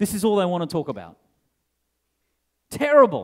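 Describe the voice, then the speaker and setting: An animated voice with an Australian accent swings very widely in pitch. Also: man. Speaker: tech industry keynote speaker. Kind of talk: conference keynote. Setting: stage with audience.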